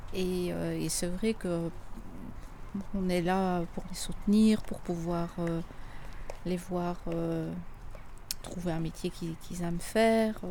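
A woman speaks at a very slow pace in a dark, mellow tone. Her intonation is flat and monotone, with audible room echo around her. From Belgium. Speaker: miner's daughter. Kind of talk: testimony. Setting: outdoors.

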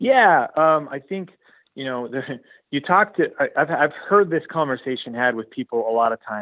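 In a West Coast US accent, a man talks at a moderate pace, his fairly high pitch swinging very widely. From Oregon, US. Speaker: university athletics director. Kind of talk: interview.

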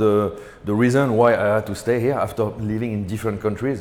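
In a French accent, a man speaks at medium pitch and a moderate pace, with audible room echo. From France, Paris. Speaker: ice cream business owner. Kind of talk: interview. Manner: halting.

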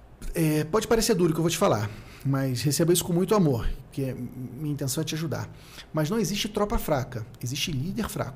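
With a plain, everyday voice, a man speaks at a fairly quick pace, his fairly high pitch carried by lively intonation. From Rio de Janeiro, Brazil. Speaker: accounting consultant and content creator. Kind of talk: casual interview chat.

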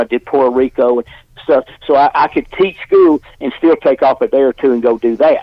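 This man has an Alabama accent and a medium pitch. He talks at a moderate pace. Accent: Southern US (Alabama). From US South. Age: 70s. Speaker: professional wrestler. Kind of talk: interview. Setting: studio.

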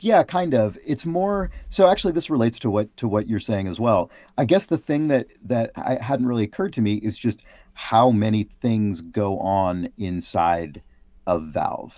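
On a very clean recording with a silent background, the voice swings very widely in pitch at a moderate pace with a West Coast accent. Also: man, medium pitch for a man. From San Francisco, US West Coast. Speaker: game designer. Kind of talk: casual chat.

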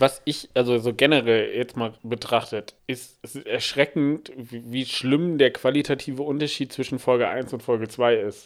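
A man has a normal speaking voice with a fairly high pitch. He talks at a fairly slow pace with fairly even intonation. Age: 20s. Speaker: podcast co-host. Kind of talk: casual chat.

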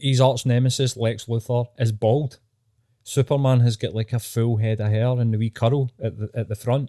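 In a Scottish accent, a man speaks at a medium pitch and moderate pace with a dark, mellow tone and monotone, flat intonation, captured dry and close with no echo in a very clean recording with a silent background. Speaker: podcast co-host. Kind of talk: casual chat. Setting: in bed at home.

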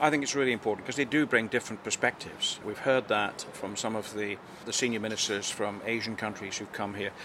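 A man with a British accent talks at a very fast pace in a fairly low voice with ordinary pitch variation, against noticeable background noise. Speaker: diplomat. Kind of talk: interview. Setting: at a conference.

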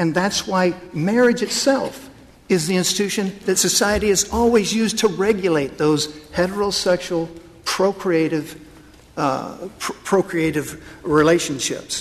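Speech comes at a fairly slow pace with ordinary pitch variation, and noticeable background noise runs underneath. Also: man, high pitch for a man. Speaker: attorney arguing before the court. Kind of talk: courtroom oral argument, formal legal advocacy. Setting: courtroom, Supreme Court hearing. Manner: formal, measured, deferential, with frequent hesitations and restarts under questioning.

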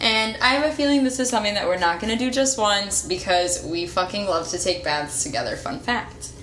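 With hardly any pauses, a woman talks at a fairly quick pace in very wide pitch swings over noticeable background noise. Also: medium pitch for a woman. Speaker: podcast co-host. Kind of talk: casual chat. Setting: in a bathtub.

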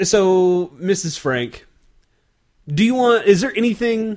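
A loud male voice with an American accent. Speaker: beer podcast host. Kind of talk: casual chat.

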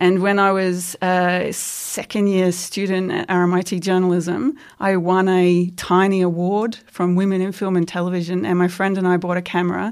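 A woman with an Australian accent and monotone, flat intonation in a very clean recording with a silent background. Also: medium pitch for a woman, moderate pace. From Australia, Queensland. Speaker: historian, research fellow. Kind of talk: interview. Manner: halting.

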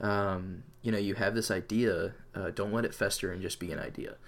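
An unremarkable speaking voice from a man, pitched fairly low, moderately paced, with fairly even intonation. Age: 20s. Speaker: podcast co-host, college student. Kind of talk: casual chat.

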